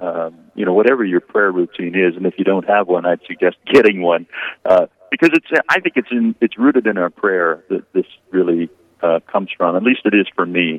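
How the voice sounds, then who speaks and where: Ordinary pitch variation runs through this man's very deep, low voice. His pace is fairly quick. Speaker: diocesan communications worker. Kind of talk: radio interview. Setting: phone call.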